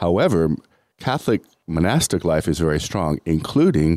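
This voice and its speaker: A man with a very deep, low voice speaks at a moderate pace, his tone dark and mellow with vocal fry and ordinary pitch variation. The recording is very clean with a silent background, and the sound is dry and close with no echo. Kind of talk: radio interview. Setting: studio.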